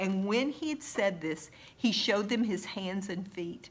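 A woman speaks at a fairly slow pace with a medium pitch and lively intonation.

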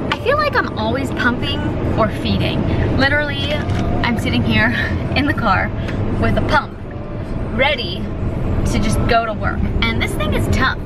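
A woman talks at a moderate pace with long, frequent pauses as music plays in the background. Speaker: vlogger. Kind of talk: casual vlog chat. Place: car. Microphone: phone near.

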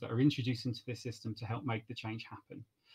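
The man's voice is somewhat breathy. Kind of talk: event moderation introduction. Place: home room. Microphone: webcam.

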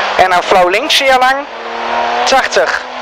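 Someone talks at a very slow pace over loud background noise, in a dry sound with no echo. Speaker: rally co-driver. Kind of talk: rally pace notes read aloud. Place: car. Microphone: helmet.

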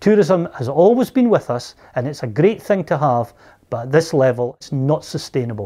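Very wide pitch swings and a dark, mellow tone come in a Scottish accent. The pace is moderate and the background quiet. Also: man, fairly high pitch for a man. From Scotland. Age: 60s. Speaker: local resident. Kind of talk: interview. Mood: concerned, critical. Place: home room.

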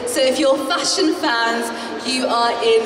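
A high-pitched woman speaks at a fairly slow pace over noticeable background noise. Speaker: event host. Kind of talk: stage announcement. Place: hall.

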